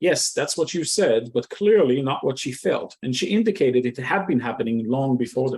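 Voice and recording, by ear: Natural-voiced reading aloud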